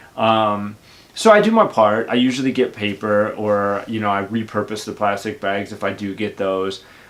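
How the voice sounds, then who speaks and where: A man talks at a moderate pace in a fairly low voice. His intonation is monotone and flat. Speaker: YouTuber. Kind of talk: casual monologue. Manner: outspoken.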